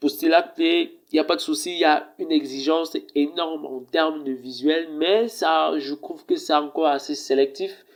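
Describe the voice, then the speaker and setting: At a moderate pace with hardly any pauses, the speech shows ordinary pitch variation. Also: man, fairly high pitch for a man. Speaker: tech reviewer, video presenter. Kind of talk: casual review talk to camera. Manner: hesitant, many fillers.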